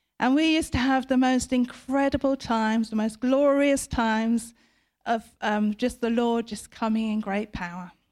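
A woman with a British accent, high pitch and fairly even intonation on a very clean recording with a silent background. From Britain. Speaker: preacher. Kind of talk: sermon.

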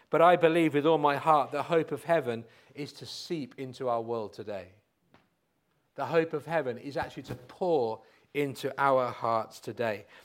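A man talks at a moderate pace in a fairly high pitch, with ordinary pitch variation. His loudness swings widely. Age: 50s. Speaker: pastor. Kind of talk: sermon. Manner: halting.

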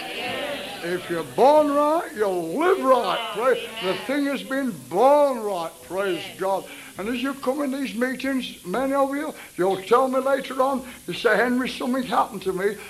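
Amid noticeable background noise, a man speaks fairly slowly in an extremely high voice with lively intonation. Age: 70s. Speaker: healing evangelist preacher. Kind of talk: revival healing meeting sermon. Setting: church chapel with congregation. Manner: animated, exhortative.

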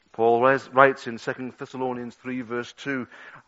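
A man with a Liverpool accent speaks at a medium pitch in a monotone, flat intonation. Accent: Scouse (Liverpool). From Liverpool, England. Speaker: pastor. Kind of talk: sermon. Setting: church.

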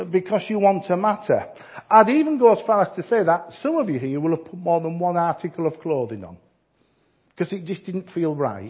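A man with a Yorkshire accent speaks in a high pitch. His intonation is lively. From Yorkshire, northern England. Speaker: visiting preacher. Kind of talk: sermon. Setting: church.

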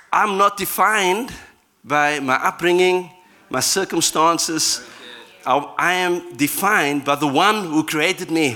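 Speaking at a fairly slow pace with long, frequent pauses, a man uses a high pitch, a bright, sharp tone, ordinary pitch variation and very even loudness. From Cape Town, South Africa. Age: 40s. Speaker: guest preacher, worship pastor. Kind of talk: sermon. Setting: church with audience.

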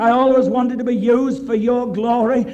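An extremely high-pitched male voice at a moderate pace, with noticeable background noise. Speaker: evangelist. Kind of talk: sermon. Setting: church. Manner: animated.

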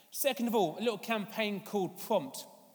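The speaker talks at a moderate pace in a London accent. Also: man. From London, England. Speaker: evangelist and charity leader. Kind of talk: sermon. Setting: church service.

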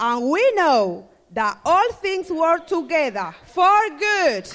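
Music plays behind a woman with a Spanish accent and an extremely high pitch. She speaks at a very slow pace, her pitch swinging very widely. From Dominican Republic. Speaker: church member. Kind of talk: testimony.

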